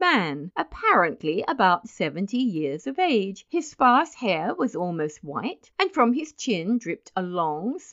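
The clip features a natural reading voice.

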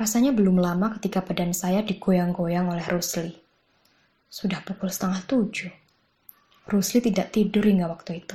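Somewhat breathy female voice with a dark, mellow tone. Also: medium pitch for a woman, moderate pace. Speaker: audiobook narrator. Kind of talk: literary audiobook reading of a short story. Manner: narrative, conversational storytelling with wry humor; shifts tone to voice characters in dialogue, animated.

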